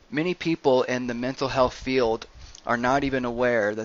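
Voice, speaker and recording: A man talks at a moderate pace in a medium pitch with fairly even intonation. It is an unremarkable speaking voice. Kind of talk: educational presentation narration.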